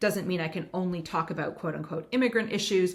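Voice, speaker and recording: A woman's medium-pitched, normal speaking voice in a Canadian accent, with ordinary pitch variation. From Canada. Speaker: writer, former first lady. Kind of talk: interview answer.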